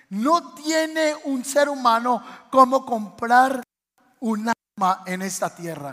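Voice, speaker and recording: A man speaks at an extremely high pitch. His delivery is very slow, with a bright, sharp tone. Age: 30s. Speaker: pastor. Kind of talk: sermon.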